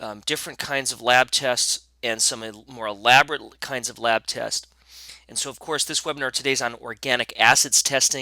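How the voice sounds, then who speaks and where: A man's bright, sharp voice shows fairly even intonation and big swings in loudness, with a dry, close sound and no echo. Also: medium pitch for a man. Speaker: functional medicine educator. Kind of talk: webinar presentation. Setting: online webinar. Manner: fast.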